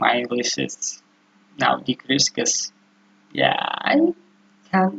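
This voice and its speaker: The speaker has an Indonesian accent. The pace is very slow. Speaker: student presenting research. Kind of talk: tutorial. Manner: halting.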